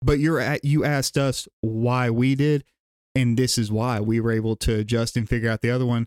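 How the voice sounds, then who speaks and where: In a Southern US accent, the speaker talks at a fairly quick pace with fairly even intonation, recorded dry and close with no echo. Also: man, medium pitch for a man. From Gadsden, Alabama, US South. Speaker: drumline instructor. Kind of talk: casual chat.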